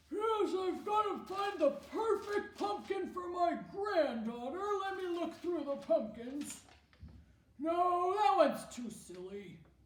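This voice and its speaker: Using a put-on character voice, a woman speaks at an extremely high pitch with very wide pitch swings and a fairly slow pace, with slight echo. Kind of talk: children's drama skit. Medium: solo performance.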